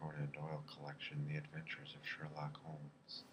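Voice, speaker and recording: A soft-spoken man with a very deep, low pitch and monotone, flat intonation. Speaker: ASMR reader. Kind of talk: bedtime story reading.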